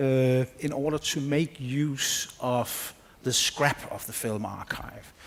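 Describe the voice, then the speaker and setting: Against noticeable background noise, a man with a Danish accent speaks at a fairly high pitch with ordinary pitch variation. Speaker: film researcher. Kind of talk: conference presentation.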